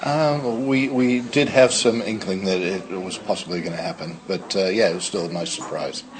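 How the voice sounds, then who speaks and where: With an American accent, a man speaks at a moderate pace and medium pitch, amid audible room echo and noticeable background noise. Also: lively intonation. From United States. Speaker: pub landlord. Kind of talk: interview. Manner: hesitant, many fillers.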